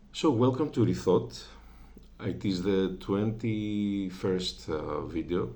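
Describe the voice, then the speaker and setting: A man with a non-native accent speaks very slowly in a fairly low pitch, his tone dark and mellow. His pitch swings very widely, and the room echo is audible. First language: Greek. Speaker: religious video creator. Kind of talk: informal religious talk. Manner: halting, many filler sounds.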